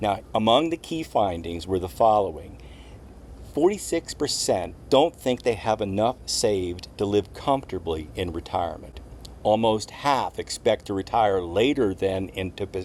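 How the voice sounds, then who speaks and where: A man with an unremarkable speaking voice, fairly low in pitch, with lively intonation at a moderate pace. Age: 60s. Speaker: retiree vlogger. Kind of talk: scripted talk to camera.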